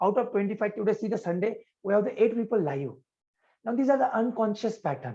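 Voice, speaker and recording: Over a quiet background, a loud man talks at a fairly quick pace with ordinary pitch variation. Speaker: yoga and life coach. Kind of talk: live coaching session. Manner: loud, energetic.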